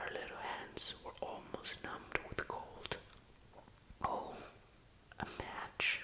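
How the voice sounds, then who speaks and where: There is noticeable noise in the background. Over it, a man whispers. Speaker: ASMR reading host. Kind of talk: sleep story reading. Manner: soft-spoken, slow.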